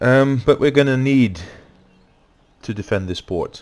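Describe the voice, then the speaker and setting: A man with a Dutch accent, lively intonation and a moderate pace. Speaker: gaming YouTuber. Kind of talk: let's play commentary. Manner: hesitant with many fillers.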